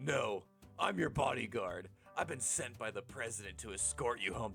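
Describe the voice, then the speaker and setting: A man does a raspy, put-on character voice at a fairly low pitch. Clear music plays behind him. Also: moderate pace. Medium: game stream. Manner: curt, terse.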